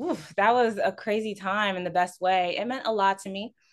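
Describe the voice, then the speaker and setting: A woman speaks in a plain, everyday voice with an American accent. Her pitch is medium, her pace moderate, and her pitch variation ordinary. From Houston, Texas. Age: 20s. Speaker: community manager at an ad agency. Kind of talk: interview.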